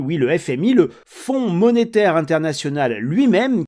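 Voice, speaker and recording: The voice has a dark, mellow tone with very wide pitch swings. The recording is very clean, with a silent background. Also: man. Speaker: economics commentator. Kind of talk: monologue commentary. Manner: conversational, direct address to viewers.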